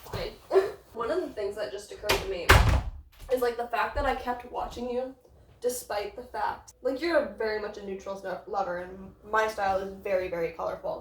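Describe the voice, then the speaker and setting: A woman talks at a moderate pace in a fairly high voice with ordinary pitch variation, over noticeable background noise. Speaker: subscriber turned friend. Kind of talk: casual chat.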